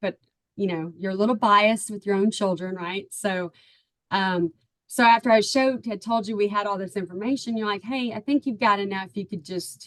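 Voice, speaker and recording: A woman with a Texan accent, at a moderate pace and with ordinary pitch variation. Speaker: parent of a recruited athlete. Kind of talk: testimonial interview.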